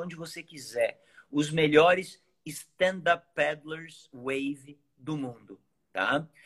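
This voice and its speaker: The man talks at a very slow pace. His voice is fairly high, with ordinary pitch variation. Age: 40s. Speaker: professional surfer and surfboard maker. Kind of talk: live stream chat. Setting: live stream.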